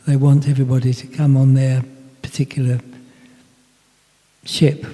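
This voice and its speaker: A medium-pitched man talks in a monotone, with flat intonation. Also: moderate pace. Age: 80s+. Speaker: speaker on personal development. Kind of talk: Q&A discussion. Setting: talk with live audience and Zoom. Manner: halting.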